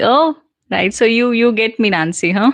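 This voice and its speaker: With an Indian accent, the speaker talks at a moderate pace with ordinary pitch variation, in a dry, close sound with no echo. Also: woman. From central India. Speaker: English communication trainer. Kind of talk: live Q&A stream. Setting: livestream. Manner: casual, conversational with fillers.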